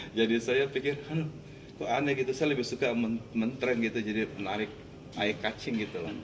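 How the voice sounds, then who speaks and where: Here is a man with a strong Makassar accent and a medium pitch. His pitch varies in an ordinary way, and his pace is fairly quick. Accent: Makassar accent, still strong. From Makassar, Indonesia. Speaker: Indonesian-Chinese expatriate, community figure. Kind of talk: interview.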